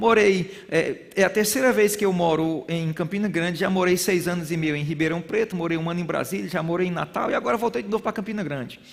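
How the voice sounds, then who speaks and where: With a northeastern Brazilian accent, a man talks very fast in an animated tone with hardly any pauses. His pitch is high. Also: ordinary pitch variation. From Brazilian Northeast. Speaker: bible school teacher. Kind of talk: sermon-style lecture.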